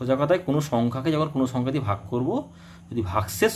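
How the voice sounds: Lively in intonation, a man speaks at a very fast pace.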